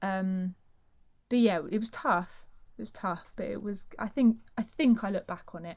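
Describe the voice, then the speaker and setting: A woman speaks with a South London accent at a medium pitch and a moderate pace. Her voice is somewhat breathy, with big swings in loudness and long, frequent pauses. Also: ordinary pitch variation, very clean recording, silent background. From South London, England. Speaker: actor and singer. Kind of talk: casual chat.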